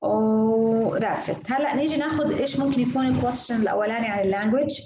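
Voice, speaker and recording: A woman with an Arabic accent speaks at a moderate pace in a fairly high voice, with audible room echo. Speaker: IELTS speaking teacher. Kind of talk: online lesson mixing Arabic and English. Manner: halting, many fillers and repeats.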